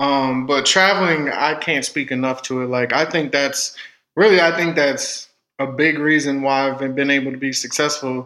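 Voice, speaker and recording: A man speaks at a moderate pace in a fairly high pitch, with fairly even intonation. It is a plain, everyday voice. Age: 20s. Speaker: audio engineer. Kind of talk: casual interview.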